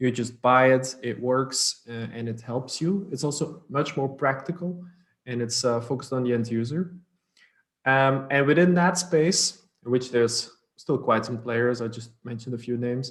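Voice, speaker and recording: Here a man speaks with a Dutch accent at a medium pitch. His pace is moderate and his pitch variation ordinary. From Belgium (Dutch-speaking north). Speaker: startup co-founder. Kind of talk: interview. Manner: fluent conversational with fillers.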